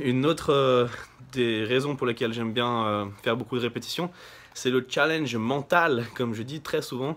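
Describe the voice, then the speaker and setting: A man's medium-pitched voice keeps fairly even intonation at a moderate pace. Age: 20s. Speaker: bodybuilder. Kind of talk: vlog. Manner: halting.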